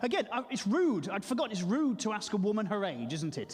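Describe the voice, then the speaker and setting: A man's high-pitched voice at a very fast pace, with very wide pitch swings and noticeable background noise. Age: 40s. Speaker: stand-up comedian. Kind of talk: stand-up.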